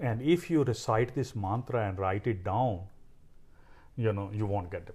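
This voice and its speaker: Speaking at a moderate pace, a man uses a fairly low pitch and ordinary pitch variation, his tone dark, mellow and somewhat breathy. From India, Punjab. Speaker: cancer researcher. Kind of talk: interview.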